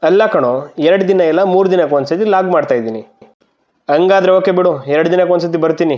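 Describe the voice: A man's high-pitched, slightly mellow voice at a fairly quick pace, with ordinary pitch variation.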